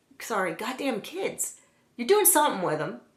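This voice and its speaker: Animated tone amid noticeable background noise and audible room echo. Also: woman. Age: 40s. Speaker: nail art youtuber. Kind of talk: casual haul video with rant.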